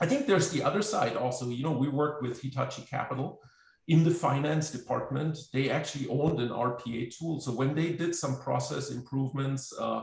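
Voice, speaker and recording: This man has a German accent and vocal fry. He talks at a fairly quick pace. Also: fairly high pitch for a man, ordinary pitch variation. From Germany. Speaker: software company representative, automation expert. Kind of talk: webinar panel discussion. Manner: halting, many fillers.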